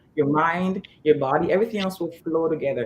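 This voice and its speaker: At a fairly quick pace, a woman with a fairly low pitch and a somewhat breathy voice talks with ordinary pitch variation. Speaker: fitness trainer. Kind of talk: interview. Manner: fast.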